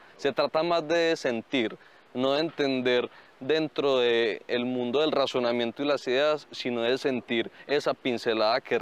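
A man talks at a fairly slow pace with fairly even intonation. His loudness stays very even, and the sound is dry with no echo. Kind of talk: interview answer. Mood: calm, reflective.

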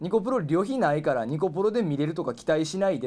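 A man speaks with very wide swings in pitch. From Osaka, Kansai; Japan. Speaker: pro wrestling referee, former comedian; former comedian. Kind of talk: press conference announcement. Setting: office, live stream. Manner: formal. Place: office.

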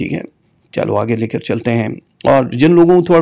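A man's medium-pitched, dark, mellow voice at a moderate pace, with ordinary pitch variation. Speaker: astrologer. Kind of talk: live astrology show. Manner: dull, low energy.

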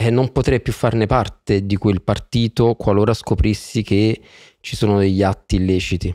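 Fairly low-pitched male voice, dark and mellow, at a moderate pace with fairly even intonation and a quiet background. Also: dry sound with no echo. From Naples, southern Italy; southern Italy. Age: 40s. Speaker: podcast guest. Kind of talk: interview. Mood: earnest, thoughtful. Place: studio. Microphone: studio mic.

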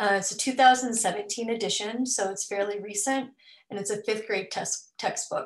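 In an ordinary speaking voice, a woman with an American accent talks at a fairly slow pace, her fairly high pitch showing ordinary variation. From Southeast Missouri. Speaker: teacher and PhD candidate; teacher, candidate. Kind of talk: webinar presentation. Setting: video call. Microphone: webcam.

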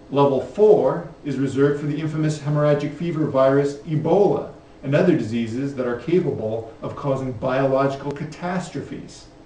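A man's fairly high voice at a fairly quick pace with hardly any pauses and ordinary pitch variation, amid audible room echo and light background noise. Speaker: health advocate presenter. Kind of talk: educational film narration. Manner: grave, urgent, formal; steady, measured, authoritative. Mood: serious, urgent warning. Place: studio.

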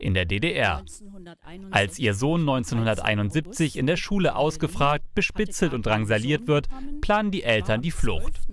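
Noticeable background noise sits behind a man's voice. He speaks at a moderate pace with very wide pitch swings. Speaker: news reporter. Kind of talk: local TV news narration.

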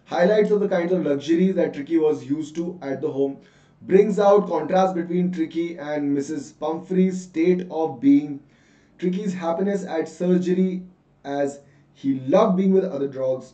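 Animated and high-pitched, a man talks with ordinary pitch variation. Audible room echo surrounds his voice. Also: moderate pace. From India. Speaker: online English teacher. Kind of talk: live online class with quiz. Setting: live online session. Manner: animated, code-switching Hindi and English.

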